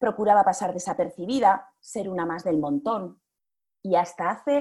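The tone is dark and mellow. Speech moves at a fairly slow pace with lively intonation. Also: woman. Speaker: public speaking coach and actress. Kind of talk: interview. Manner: varied, expressive intonation.

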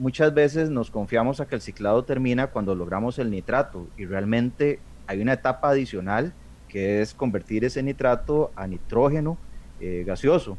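The intonation moves in a lively way. It is a normal speaking voice. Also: man, medium pitch for a man, moderate pace. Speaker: aquarium hobbyist, association member. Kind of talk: radio talk show discussion.

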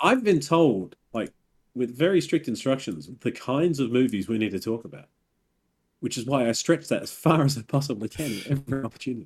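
In a normal speaking voice, a man talks at a fairly quick pace with a medium pitch and lively intonation. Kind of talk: casual chat. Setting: video call.

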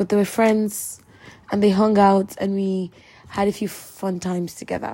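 A woman's somewhat breathy voice, medium in pitch, dark and mellow in tone, with monotone, flat intonation. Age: 20s. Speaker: podcaster. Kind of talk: personal monologue.

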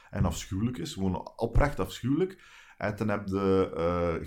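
With a Flemish accent, a man speaks at a very deep, low pitch. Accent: Flemish accent, noticeable. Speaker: stand-up comedian and podcaster. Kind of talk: casual chat. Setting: garden house, sitting close together.

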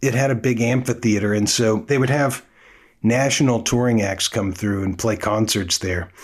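Ordinary pitch variation marks this man's speech, delivered with an American accent. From Oakland, California (US West Coast). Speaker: drummer and music teacher hosting a podcast. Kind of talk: casual monologue. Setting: home studio.

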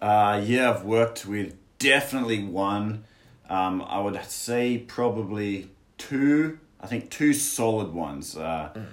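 Spoken in an Australian accent at a fairly slow pace, the voice has lively intonation. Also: man, fairly low pitch for a man. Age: 20s. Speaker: English teacher in China. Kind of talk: casual chat. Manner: halting, many fillers.

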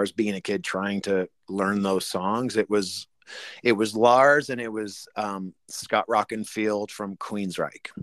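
A man has a plain, everyday voice at a fairly low pitch with fairly even intonation. The recording is very clean with a silent background, and the sound is dry and close with no echo. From Canada. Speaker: rock drummer. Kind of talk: interview.

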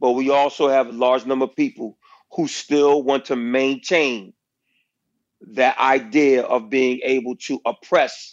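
This man has a plain, everyday voice. He talks at a moderate pace in a medium pitch. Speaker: school principal and author. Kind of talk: casual interview chat.

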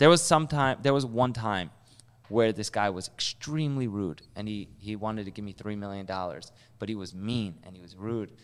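A plain, everyday voice: a man at a fairly low pitch and a fairly quick pace, with ordinary pitch variation and big swings in loudness, on a very clean recording with a silent background. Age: 20s. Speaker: real estate investor. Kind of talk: casual chat.

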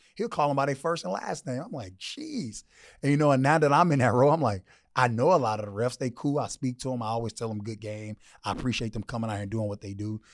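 A man with an American accent talks at a very fast pace with ordinary pitch variation. The recording is very clean, with a silent background. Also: medium pitch for a man. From Houston, Texas. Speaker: high school football coach. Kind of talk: casual interview chat.

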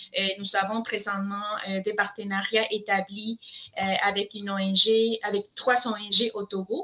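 With a Spanish accent, a woman speaks at a very slow pace and medium pitch in a monotone, flat way, with noticeable background noise behind her. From Colombia. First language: Spanish (speaking French). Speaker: nonprofit education program manager. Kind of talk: interview.

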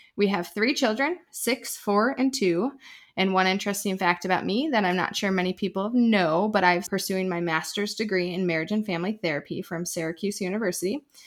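A woman's medium-pitched voice at a fairly quick pace, with ordinary pitch variation and hardly any pauses. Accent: Wisconsin. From Wisconsin. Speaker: podcast co-host, military spouse. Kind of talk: casual chat.

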